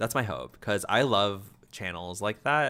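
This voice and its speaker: In a calm tone, a man speaks with a bright, sharp tone. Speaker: gaming streamer. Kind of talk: casual live stream chat. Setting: live stream. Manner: fast, stumbling over words; chill, calm in videos.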